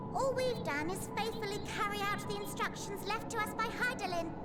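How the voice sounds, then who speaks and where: Someone performs a put-on character voice over loud music in the background. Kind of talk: comic fantasy game voice acting. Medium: game stream. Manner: fast, fussy, excitable.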